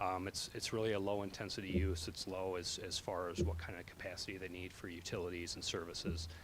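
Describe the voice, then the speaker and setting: Over audible room echo, a man with a very deep, low pitch talks at a very fast pace with hardly any pauses. His intonation is monotone and flat. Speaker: civil engineering consultant presenting a project. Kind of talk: public meeting presentation.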